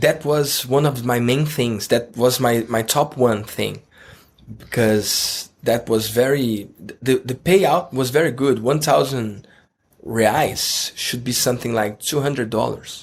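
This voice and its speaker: In a Brazilian Portuguese accent, a man talks at a very slow pace and medium pitch with ordinary pitch variation. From Brazil, Rio de Janeiro. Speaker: online course entrepreneur and mentor. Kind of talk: interview. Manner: halting.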